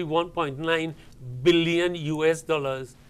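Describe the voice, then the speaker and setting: A man's voice with fairly even intonation. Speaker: guest. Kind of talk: interview answer. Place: studio. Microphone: lapel.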